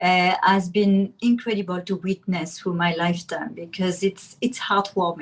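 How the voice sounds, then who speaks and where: Somewhat breathy, a woman with a French accent speaks at a moderate pace and medium pitch, with fairly even intonation and hardly any pauses. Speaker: guest mother and teacher. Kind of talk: interview. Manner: halting.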